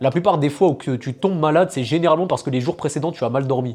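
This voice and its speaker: A man speaks in an animated tone at a very fast pace. His pitch variation is ordinary. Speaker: fitness and health coach. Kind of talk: advice monologue to camera. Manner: casual, animated.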